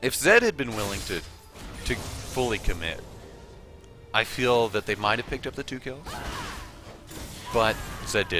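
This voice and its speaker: With music in the background, a man talks at medium pitch and a moderate pace, with ordinary pitch variation and long, frequent pauses. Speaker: game commentator. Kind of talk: esports match commentary.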